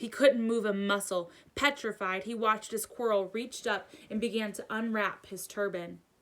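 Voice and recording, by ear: A woman's fairly bright voice with ordinary pitch variation. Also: medium pitch for a woman, moderate pace.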